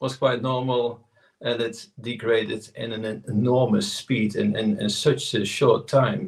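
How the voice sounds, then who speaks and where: Speaking at a very slow pace, a man with a medium-pitched, somewhat breathy voice shows ordinary pitch variation. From southern Netherlands, Tilburg. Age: 60s. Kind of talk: interview. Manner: halting.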